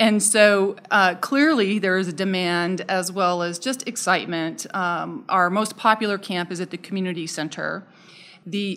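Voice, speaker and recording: An ordinary speaking voice: a woman with an American accent talks at a medium pitch and a fairly slow pace, with ordinary pitch variation. The recording is very clean, with a silent background. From Southern Arizona. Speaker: parks and recreation director. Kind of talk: interview.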